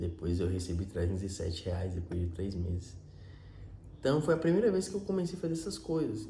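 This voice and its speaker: A man talks at a fairly quick pace with very wide pitch swings. The recording has audible room echo and noticeable background noise. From Minas Gerais, Brazil. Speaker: vlogger. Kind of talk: personal storytelling monologue. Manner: casual, with self-repetitions.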